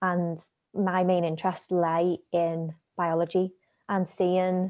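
On a very clean recording with a silent background, a woman with a Liverpool accent speaks at a medium pitch in a monotone, flat intonation. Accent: Liverpool (Scouse). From Liverpool, England. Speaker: scientist. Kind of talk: interview. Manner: hesitant, many fillers.

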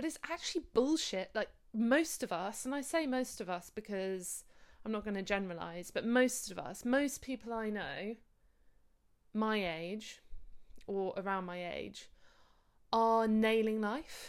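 With an English accent, a woman speaks at a fairly high pitch with lively intonation and long, frequent pauses, on a very clean recording with a silent background. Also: fairly slow pace. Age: 30s. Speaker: podcast host. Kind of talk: casual monologue.

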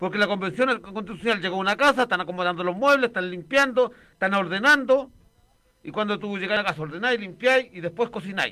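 Raised and projected, a man's high-pitched voice has a bright, sharp tone, ordinary pitch variation and a very fast pace. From Chile, working-class neighbourhood. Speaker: radio co-host. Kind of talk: casual chat.

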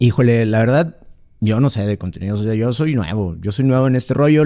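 In a Mexican accent, a man with a dark, mellow tone talks at a very fast pace with ordinary pitch variation. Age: 40s. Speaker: MMA fighter. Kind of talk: casual chat.

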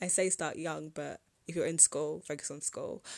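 A British accent in a very clean recording with a silent background. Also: woman. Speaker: podcast host and entrepreneur. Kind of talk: casual solo podcast monologue.

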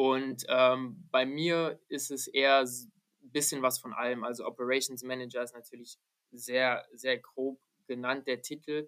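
A man speaks fairly slowly at a medium pitch. His intonation is monotone and flat, while his loudness swings widely. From Germany. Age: 20s. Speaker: American football team operations manager. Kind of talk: podcast interview.

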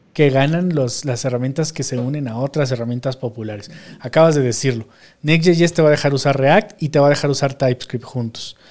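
A man with a Mexican accent speaks fairly quickly at a fairly high pitch, with ordinary pitch variation. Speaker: podcast host, programmer. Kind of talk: casual chat.

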